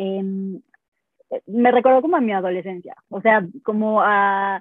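The woman's voice sits at medium pitch with fairly even intonation. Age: 30s. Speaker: vegan sports nutritionist. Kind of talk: interview. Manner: halting.

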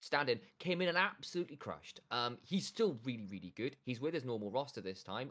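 The voice swings very widely in pitch. It carries a London accent. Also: man. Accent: London geezer accent, put on. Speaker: esports podcast co-host. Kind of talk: casual chat. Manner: joking, playful.

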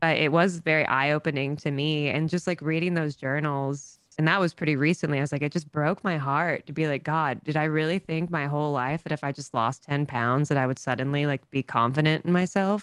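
With fairly even intonation, a woman speaks at a fairly quick pace in a very deep, low pitch. The sound is dry and close with no echo, and the background is quiet. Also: hardly any pauses. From US South, small town. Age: 30s. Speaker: TikTok creator and dog walker. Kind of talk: casual chat. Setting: podcast.

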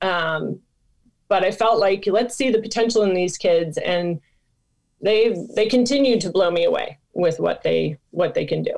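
A woman with an American accent, medium pitch, ordinary pitch variation, an ordinary speaking voice. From Michigan, US Midwest. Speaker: nonprofit founder and former soccer player. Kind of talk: interview.

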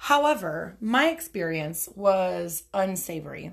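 In a very clean recording with a silent background, a woman speaks in an animated tone at a medium pitch. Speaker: podcast host. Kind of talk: casual monologue. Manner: loud.

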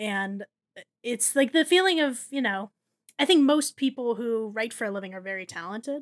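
An unremarkable speaking voice with an American accent and lively intonation. The pace is moderate. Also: woman, fairly high pitch for a woman, dry, close sound with no echo. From New Jersey. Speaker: writer and editor, food blogger. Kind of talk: casual chat.

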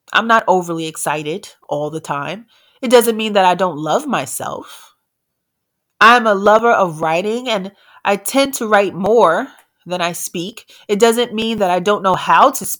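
A woman with an American accent speaks in a plain, everyday voice at medium pitch and a fairly slow pace. Her intonation is lively, her loudness swings widely, and the recording is very clean with a silent background. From New York, the Bronx. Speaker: entrepreneur. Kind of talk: speech.

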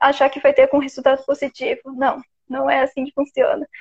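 Her voice high, a woman speaks with a Florianópolis accent. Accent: noticeable Florianópolis. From Santa Catarina, Brazil (Florianópolis). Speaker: podcast host. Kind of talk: live-stream conversation. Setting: live stream on Instagram.

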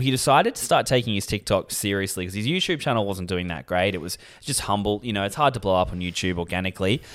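The intonation is lively. The recording is very clean, with a silent background. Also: man. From Australia, Sydney. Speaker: podcast co-host, comedian. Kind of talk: casual chat.

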